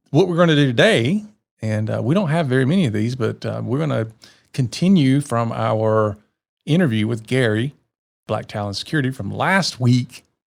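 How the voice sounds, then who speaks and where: A man with a Southern US accent speaks at medium pitch and a moderate pace, his intonation lively. The recording is very clean, with a silent background. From US South. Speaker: podcast co-host. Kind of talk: casual chat.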